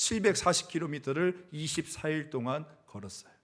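The recording is very clean, with a silent background. A man speaks in a fairly high pitch with lively intonation. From South Korea, rural area. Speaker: senior pastor. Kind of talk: sermon. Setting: church.

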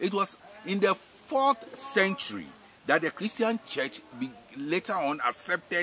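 A man talks at a fairly slow pace with a high pitch and very wide pitch swings. The sound is dry with no echo, with light background noise. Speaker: spiritual teacher. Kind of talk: religious teaching. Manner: repetitive, hesitant with fillers. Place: farm. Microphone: camera far.

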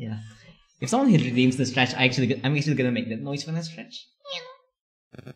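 A man talks at a very fast pace with fairly even intonation, a somewhat breathy sound, and long, frequent pauses. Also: medium pitch for a man. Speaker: streamer. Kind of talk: casual live stream chat. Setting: live stream at home. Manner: giggly.

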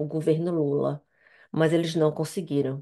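A woman with a fairly low pitch speaks with a Brazilian accent against a quiet background. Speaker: interpreter practice speaker; speaker. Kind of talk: prepared practice speech. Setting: video call. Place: home room. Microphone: headset.

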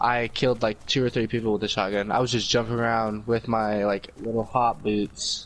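Against noticeable background noise, a man with a medium-pitched voice talks at a moderate pace with monotone, flat intonation. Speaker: gaming YouTuber. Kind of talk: casual gameplay commentary.

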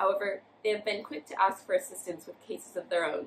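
A woman talks at a very fast pace. Light noise sits in the background. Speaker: college student. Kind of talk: reading aloud. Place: home room. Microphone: camera far.

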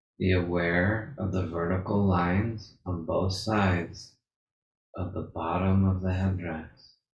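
A soft-spoken man with a very deep, low pitch talks at a fairly slow pace in a monotone, flat delivery that is somewhat breathy. Audible room echo and light background noise surround him. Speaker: meditation guide. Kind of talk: guided meditation. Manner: slow, soft-spoken, repeating cues with pauses. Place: home room. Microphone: video call.

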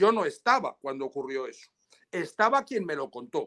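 Against a quiet background, a man with a high-pitched voice talks at a fairly quick pace with lively intonation. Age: 60s. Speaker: lawyer. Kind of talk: interview. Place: home room. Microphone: video call.

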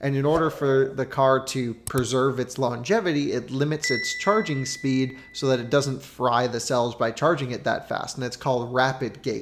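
There is light background noise behind this man. He talks at a moderate pace with ordinary pitch variation and hardly any pauses. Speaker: car reviewer. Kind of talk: commentary. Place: kitchen. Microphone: studio mic.

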